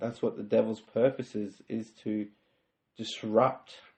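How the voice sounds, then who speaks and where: A man speaks with an Australian accent. His pace is very slow. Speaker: podcast host. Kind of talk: faith-based self-help monologue. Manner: halting, self-correcting.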